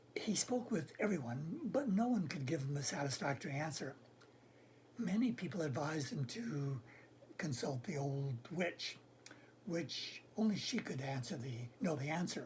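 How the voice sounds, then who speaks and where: A raspy, put-on character voice at a middle pitch moves at a moderate pace over light background noise. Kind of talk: informal storytelling. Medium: solo performance. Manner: casual, halting, self-correcting.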